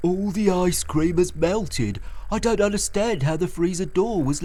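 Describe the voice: Someone simply reads aloud in a plain way.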